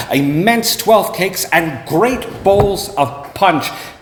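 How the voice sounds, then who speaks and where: Through noticeable background noise, a man speaks at a very slow pace in a high pitch. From Canada. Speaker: actor. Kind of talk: dramatic story reading. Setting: live venue.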